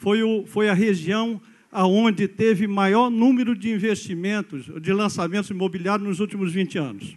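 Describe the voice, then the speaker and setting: The man's voice is high in pitch, with pitch variation of an ordinary kind. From Brazil, São Paulo city. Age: 60s. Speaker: engineer, public hearing speaker. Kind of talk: public hearing comment. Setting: public hearing with audience. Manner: halting, repeats words.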